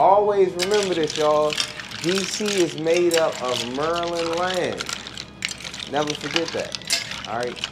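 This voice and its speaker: A man's high-pitched voice at a fairly slow pace, with ordinary pitch variation, audible room echo and noticeable background noise. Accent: DC. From Washington DC. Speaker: musician. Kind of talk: casual chat. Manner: animated.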